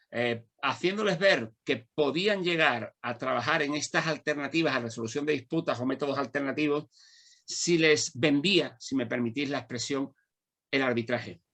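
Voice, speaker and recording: A man's fairly high, bright and sharp voice at a moderate pace, with ordinary pitch variation. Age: 60s. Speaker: law lecturer and mediator. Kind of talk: panel discussion. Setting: conference with audience.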